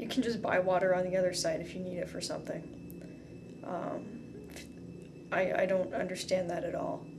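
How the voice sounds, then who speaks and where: A woman at a moderate pace with hardly any pauses, over noticeable background noise. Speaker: video blogger. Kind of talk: casual vlog chat. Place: home room. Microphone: camera far.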